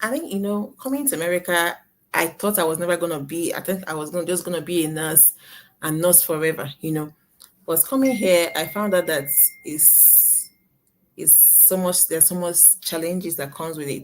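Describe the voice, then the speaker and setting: A woman speaks with a Nigerian accent. Her pitch is fairly low, with ordinary variation. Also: moderate pace. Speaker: nurse and online business owner. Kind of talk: live interview. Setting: live video stream.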